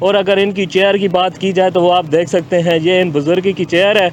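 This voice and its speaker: Over noticeable background noise, a man with a high-pitched voice talks with fairly even intonation. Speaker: field reporter. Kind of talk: TV news field report.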